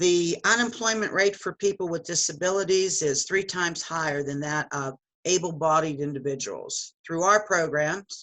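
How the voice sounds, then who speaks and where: A woman's fairly low voice with ordinary pitch variation and hardly any pauses. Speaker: nonprofit staff presenter. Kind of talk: webinar presentation. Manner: fast.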